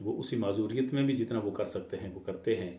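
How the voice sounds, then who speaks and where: Audible room echo surrounds a man speaking at a fairly low pitch with ordinary pitch variation. His tone is dark and mellow, and somewhat breathy. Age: 60s. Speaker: vlogger. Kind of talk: casual monologue. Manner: hesitant, with fillers.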